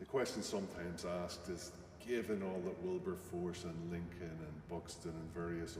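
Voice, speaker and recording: A man with a very deep, low pitch, amid audible room echo and noticeable background noise. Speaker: human rights campaigner. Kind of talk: panel talk. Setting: stage with audience. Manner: tends to mumble.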